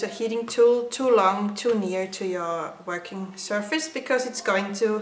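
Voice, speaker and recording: With a non-native accent, a woman speaks at a fairly slow pace and fairly high pitch. Audible room echo and noticeable background noise fill the recording. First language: not English. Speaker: craft tutorial maker. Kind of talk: tutorial. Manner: halting, many filler sounds.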